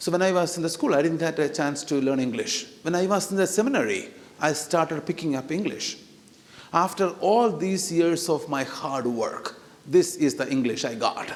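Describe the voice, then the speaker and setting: This man's voice sits high in pitch with ordinary variation, delivered at a moderate pace over noticeable background noise and audible room echo. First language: not English. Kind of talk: sermon. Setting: church. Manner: hesitant, many fillers; animated, talks with hands.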